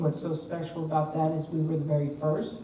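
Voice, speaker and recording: Noticeable background noise and audible room echo surround the recording. A woman speaks with a slight New Jersey accent at a very deep, low pitch. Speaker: retired basketball coach. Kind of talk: panel discussion.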